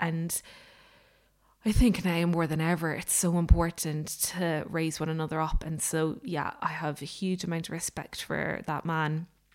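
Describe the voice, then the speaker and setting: A woman's fairly low pitch in monotone, flat intonation at a fairly slow pace, on a very clean recording with a silent background. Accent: Irish. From Ireland. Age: 30s. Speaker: baker and podcaster. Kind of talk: casual solo vlog update. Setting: home kitchen.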